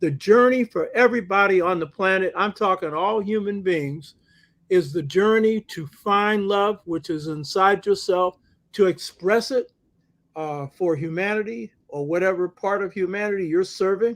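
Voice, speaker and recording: A man with a high pitch, ordinary pitch variation and a moderate pace, in a quiet background. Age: 60s. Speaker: talk show guest on African-centered culture. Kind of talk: casual conversational discussion. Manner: animated.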